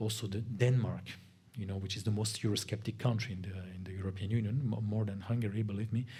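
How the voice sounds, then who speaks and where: Talking at a very fast pace with fairly even intonation, a man with a fairly low pitch and a dark, mellow, somewhat breathy tone is heard in a room with audible echo. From Spain, grew up in France. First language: Spanish. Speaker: lecturer on European affairs. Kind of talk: guest lecture.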